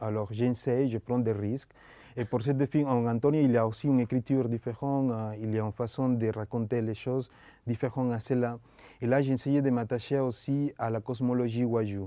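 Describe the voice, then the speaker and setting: A man with a Spanish accent has a dark, mellow tone. His intonation is fairly even, and the background is quiet. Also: medium pitch for a man. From Colombia. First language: Spanish (speaking French). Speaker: film director. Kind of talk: interview. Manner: halting.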